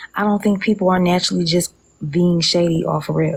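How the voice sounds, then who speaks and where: A woman's fairly low, somewhat breathy voice at a moderate pace, with fairly even intonation. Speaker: social media livestreamer. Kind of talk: casual live stream chat. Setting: outdoors on a lanai, live stream. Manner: whispering, talking low.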